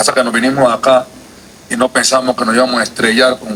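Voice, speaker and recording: The speaker has a Panamanian accent, and there is noticeable background noise. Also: man. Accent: Colón Panamanian. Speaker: legislator. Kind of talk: committee speech. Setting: legislative committee session. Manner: forceful.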